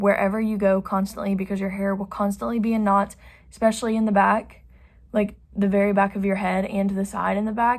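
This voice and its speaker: A woman speaks at a medium pitch in a somewhat breathy voice. Her intonation is monotone and flat, on a very clean recording with a silent background. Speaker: beauty vlogger. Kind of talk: tutorial. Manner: casual, chatty.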